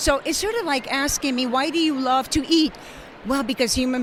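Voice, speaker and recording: Noticeable background noise accompanies a voice with a Spanish accent. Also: woman. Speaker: language educator. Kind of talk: interview.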